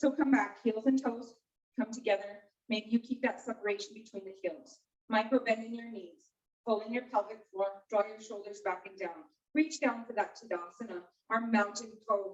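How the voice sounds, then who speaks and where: A woman in a normal speaking voice at a fairly high pitch, moderate pace, ordinary pitch variation and big swings in loudness. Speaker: yoga instructor. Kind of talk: guided yoga class instruction.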